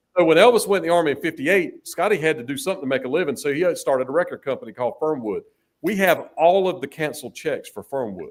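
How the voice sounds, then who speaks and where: A man's high-pitched, very fast talk with a Southern US accent and lively intonation. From North Carolina. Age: 60s. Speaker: musician and business owner. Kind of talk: interview chat. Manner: halting.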